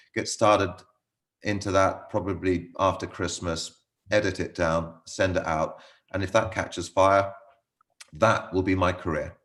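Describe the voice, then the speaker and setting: In a British accent, a man with a very deep, low voice speaks at a fairly slow pace, his intonation monotone and flat, with long, frequent pauses. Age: 60s. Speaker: local playwright and amateur actor. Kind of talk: casual interview chat. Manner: halting.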